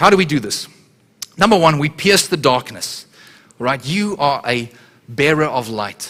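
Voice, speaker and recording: This man's voice is fairly high in pitch, with a bright, sharp, animated tone. He keeps a moderate pace and lively intonation. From South Africa. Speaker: guest preacher. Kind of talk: sermon. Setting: church.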